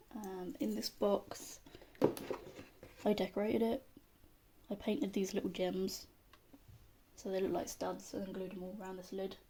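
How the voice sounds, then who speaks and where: A woman speaks in a British accent. She leaves long, frequent pauses. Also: medium pitch for a woman, big swings in loudness. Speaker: pagan witch content creator. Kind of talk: casual talk to camera. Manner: slow, monotone.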